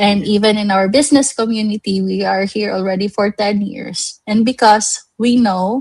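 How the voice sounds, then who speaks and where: A woman talks at a fairly slow pace in a dry, close sound with no echo. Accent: Visayan Filipino. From Philippines, Cebu. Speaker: livestream host. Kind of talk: live online show, motivational business talk. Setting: livestream.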